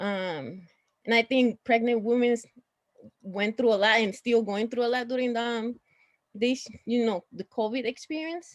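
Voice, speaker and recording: A fairly high-pitched woman at a moderate pace, in a dry, close sound with no echo. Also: ordinary pitch variation. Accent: strong Puerto Rican. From Puerto Rico. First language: Spanish. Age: 30s. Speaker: social work student. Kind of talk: panel introduction.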